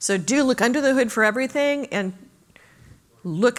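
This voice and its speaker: Delivered at a fairly quick pace with ordinary pitch variation, this is an ordinary speaking voice. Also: woman. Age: 60s. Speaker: conference speaker. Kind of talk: Q&A after a talk.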